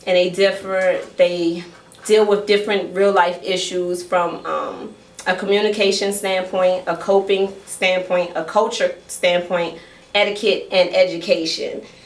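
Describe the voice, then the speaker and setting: A woman's medium-pitched, monotone, flat delivery at a fairly slow pace, with noticeable background noise. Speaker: poet and author. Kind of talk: casual talk to live audience, explaining her poem.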